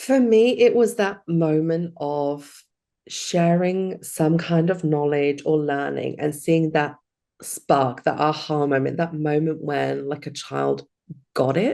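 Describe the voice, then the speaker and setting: Very slowly, a woman with a very deep, low pitch and a dark, mellow tone speaks with ordinary pitch variation. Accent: British. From UK. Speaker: hypnotherapy coach. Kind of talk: interview.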